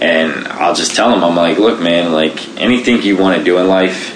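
With an American accent, a man speaks at a very deep, low pitch with ordinary pitch variation, amid audible room echo and noticeable background noise. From Baltimore, Maryland. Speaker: Paralympic sprinter and military veteran. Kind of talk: interview, personal story.

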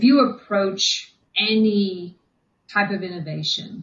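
Speech comes at a very slow pace with a somewhat breathy quality. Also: woman. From England. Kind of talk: interview. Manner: hesitant with fillers.

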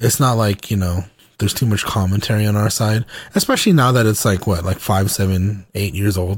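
On a very clean recording with a silent background, a man with an American accent speaks at a fairly quick pace in a fairly low, somewhat breathy voice with fairly even intonation. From US South (Georgia). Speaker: podcast co-host. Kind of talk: casual chat. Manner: casual, filler-heavy.

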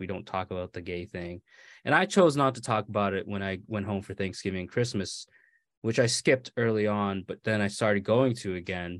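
Against a quiet background, a man with an American accent uses an unremarkable speaking voice, fairly low in pitch with fairly even intonation. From Maine, US (born California). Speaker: author. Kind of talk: interview.

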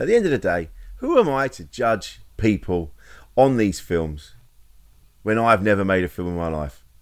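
On a very clean recording with a silent background, a man speaks. His intonation is lively and his pace moderate. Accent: English. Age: 50s. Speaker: comedian and podcast co-host. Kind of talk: casual chat.

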